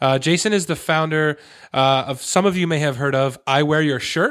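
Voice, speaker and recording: In a very clean recording with a silent background, a man speaks in a plain, everyday voice, fairly high-pitched, at a moderate pace with fairly even intonation. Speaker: podcast host. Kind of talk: casual interview chat.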